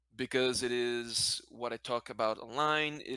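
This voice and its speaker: A man with a non-native accent, a bright, sharp tone and a moderate pace. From Brazil, then Spanish-speaking country. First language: Portuguese. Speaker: card game content creator. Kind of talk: casual interview chat. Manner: halting, self-correcting.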